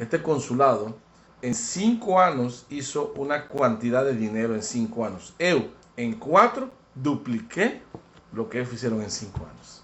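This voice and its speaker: A man with a Spanish accent at a medium pitch, fairly slow, with lively intonation and big swings in loudness. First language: Spanish (speaking Portuguese). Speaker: diplomat. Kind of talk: interview.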